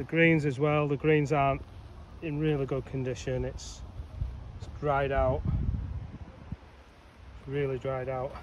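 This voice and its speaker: A man speaks at a fairly slow pace in a flat monotone, with long, frequent pauses, light background noise and a dry sound with no echo. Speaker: amateur golfer reviewing course. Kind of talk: casual commentary. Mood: disappointed, critical. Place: open country. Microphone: phone near.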